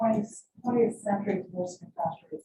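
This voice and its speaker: A woman speaks with an American accent at a medium pitch. Her pitch varies in an ordinary way. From New York. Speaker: professor. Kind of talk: panel discussion. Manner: fast.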